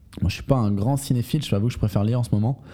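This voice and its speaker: A man speaks with a dark, mellow tone, somewhat breathy, with ordinary pitch variation, on a very clean recording with a silent background. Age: 20s. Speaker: sales podcast host. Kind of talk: solo podcast monologue. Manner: halting, with frequent fillers.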